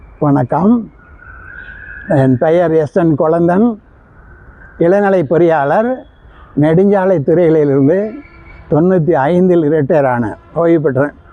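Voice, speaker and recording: Over noticeable background noise, a fairly high-pitched man talks with very even loudness and ordinary pitch variation. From Tamil Nadu, Namakkal. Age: 80s+. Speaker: retired engineer and veteran athlete. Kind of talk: interview.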